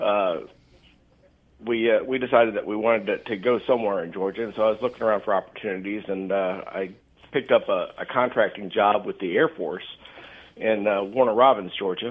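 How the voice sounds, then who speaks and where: A man with an American accent talks at a fairly quick pace in an ordinary speaking voice, his pitch fairly low and his intonation fairly even. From eastern Kansas, US Midwest. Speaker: retired Marine and gun-rights group board member. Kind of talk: radio interview.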